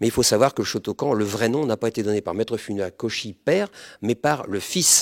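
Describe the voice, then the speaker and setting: With ordinary pitch variation, a man's voice stays at a medium pitch. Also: dry, close sound with no echo. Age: 60s. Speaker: martial arts instructor. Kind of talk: interview. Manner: hesitant with fillers.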